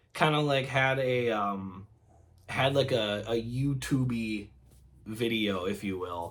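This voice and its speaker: Ordinary pitch variation at a fairly slow pace, in a very clean recording with a silent background. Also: man. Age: 20s. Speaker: youtuber and field machinist apprentice. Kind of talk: casual vlog talk to camera. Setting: game room at home. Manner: halting, many fillers and restarts.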